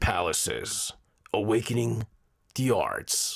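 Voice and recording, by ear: Raspy and dramatic in tone, this put-on character voice moves at a fairly slow pace. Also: man.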